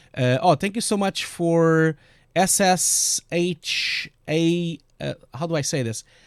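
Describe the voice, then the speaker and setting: With a strong Portuguese accent, a man speaks at a fairly high pitch with lively intonation. The sound is dry and close with no echo. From Portugal. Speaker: VFX compositor and streamer. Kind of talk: live stream tutorial and Q&A. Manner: hesitant, many fillers.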